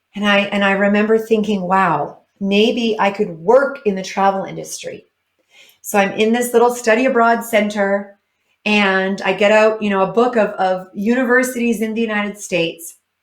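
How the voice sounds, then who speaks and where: A woman with a Canadian accent uses a normal speaking voice at medium pitch, moving at a moderate pace with fairly even intonation. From northern Canada (British Columbia area). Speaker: motivational speaker. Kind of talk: keynote talk.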